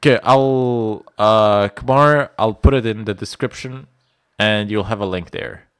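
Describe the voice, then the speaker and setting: In a dry sound with no echo and a quiet background, a man speaks at a fairly slow pace with ordinary pitch variation. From Bosnia. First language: Bosnian. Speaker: IT instructor. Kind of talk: live stream Q&A. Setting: live stream from home.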